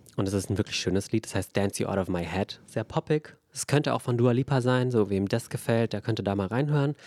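In a very clean recording with a silent background and a dry, close sound with no echo, a man with an unremarkable speaking voice talks at a fairly quick pace, fairly low in pitch with ordinary pitch variation. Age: 20s. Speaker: podcast co-host. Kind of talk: casual chat.

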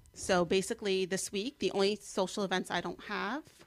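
A woman with a slight New Jersey accent speaks at a fairly quick pace and a medium pitch. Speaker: guest, social media weight-loss blogger. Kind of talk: casual chat.

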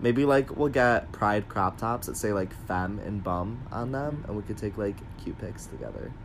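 Speech moves at a moderate pace with hardly any pauses. Music plays in the background. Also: man, fairly low pitch for a man, ordinary pitch variation. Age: 20s. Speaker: podcast host. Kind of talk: casual chat. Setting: at home on a bed.

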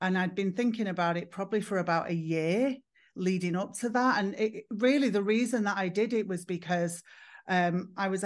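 Against a quiet background, a woman with an English accent speaks at a medium pitch with ordinary pitch variation. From northern England, Manchester. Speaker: psychotherapist and former hairdresser. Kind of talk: podcast interview.

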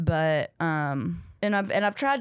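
A woman talks with a Southern US accent. The recording is very clean and silent in the background, dry and close with no echo. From North Carolina, US South. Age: 30s. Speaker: stand-up comedian. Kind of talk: casual chat. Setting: studio.

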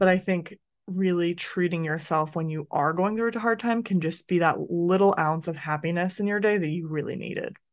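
A woman talks at a fairly quick pace with hardly any pauses, in a fairly low pitch with ordinary pitch variation. Hers is an unremarkable speaking voice. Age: 30s. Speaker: podcast host. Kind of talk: casual chat.

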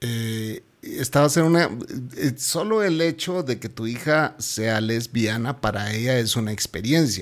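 A man speaks at a very slow pace with a medium pitch. His intonation is lively. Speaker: podcast host. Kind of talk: casual chat.

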